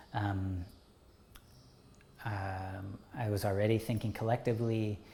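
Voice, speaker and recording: Somewhat breathy and fairly low in pitch, this man has a dark, mellow tone. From England, outside London. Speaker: artist, educator and organizer. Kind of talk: oral history interview answer.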